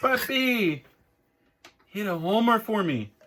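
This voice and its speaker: Putting on a character voice, a man talks high in his range at a fairly slow pace with lively intonation. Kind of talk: street slang.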